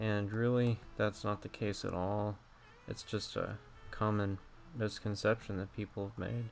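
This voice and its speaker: Over background music, a man with a fairly low voice speaks at a fairly slow pace in a flat monotone. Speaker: digital artist. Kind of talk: tutorial. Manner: halting.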